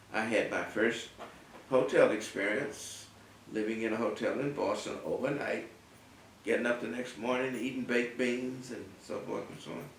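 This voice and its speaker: With long, frequent pauses and big swings in loudness, a man at a medium pitch speaks at a moderate pace against noticeable background noise. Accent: American. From North Carolina, US South. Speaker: artist and art professor. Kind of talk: oral history interview answer.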